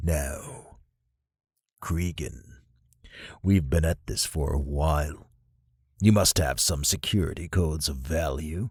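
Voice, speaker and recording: A man puts on a character voice with a very deep, low pitch and ordinary pitch variation. He goes at a fairly slow pace with long, frequent pauses, on a very clean recording with a silent background. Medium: read story. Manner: cold, commanding.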